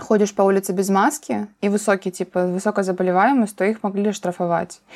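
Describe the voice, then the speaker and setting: Using a plain, everyday voice, a woman talks at a medium pitch and moderate pace with fairly even intonation. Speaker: podcast host. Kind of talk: casual chat.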